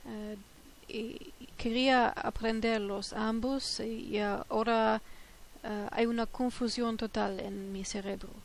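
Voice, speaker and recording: A woman with a German accent speaks at a fairly slow pace and a fairly high pitch. Her intonation is monotone and flat, with long, frequent pauses. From Germany. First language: German (speaking Dutch). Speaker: polyglot language learner. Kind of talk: multilingual tips talk. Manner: halting, many filler hesitations.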